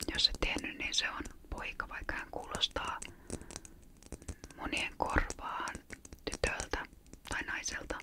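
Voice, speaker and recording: Someone whispers at a very slow pace, with long, frequent pauses. Noticeable background noise sits underneath. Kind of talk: ASMR chat about childhood Christmas memories. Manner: whispered.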